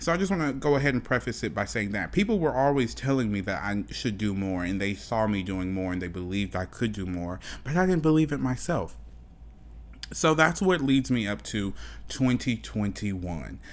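A man talks at a fairly quick pace in a fairly low voice. His tone is animated and his intonation lively. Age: 20s. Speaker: podcast host. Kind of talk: personal monologue.

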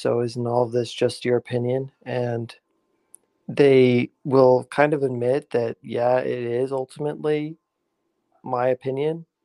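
At a fairly slow pace, the speech comes in a monotone, flat intonation with a dry, close sound and no echo. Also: man. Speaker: YouTuber. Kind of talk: casual chat. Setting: video call.

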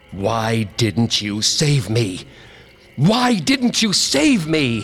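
Using a put-on character voice, a man shouts loudly at a medium pitch and a very slow pace. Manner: accusing, shouting, growing louder.

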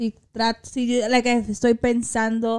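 A woman's fairly high pitch in a dry, close sound with no echo. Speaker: podcast co-host. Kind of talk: casual chat. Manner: fast talker; animated.

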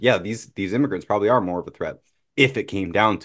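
Against a quiet background, a man talks in an ordinary speaking voice with medium pitch and ordinary pitch variation. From Canada. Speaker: podcast host. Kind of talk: casual chat.

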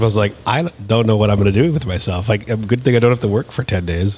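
A man speaks very fast in a somewhat breathy voice, with ordinary pitch variation. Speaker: podcast host. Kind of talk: casual chat. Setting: studio.

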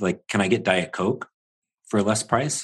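A man speaks at a fairly low pitch. His is an unremarkable speaking voice. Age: 40s. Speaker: podcast host and franchise consultant. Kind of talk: scripted narration; interview.

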